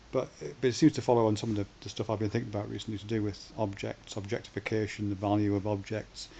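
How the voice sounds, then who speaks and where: Amid light background noise, a man speaks at a very fast pace with a fairly low pitch, a somewhat breathy, dark, mellow tone, and fairly even intonation. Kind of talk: casual vlog chat. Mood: thoughtful, reflective. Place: home room. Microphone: webcam.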